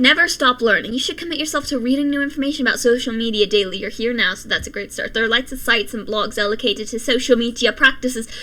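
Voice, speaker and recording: A woman at a high pitch, talking at a very fast pace with hardly any pauses and ordinary pitch variation, over noticeable background noise. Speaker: commentary youtuber. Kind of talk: reading aloud with commentary. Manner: speech impediment.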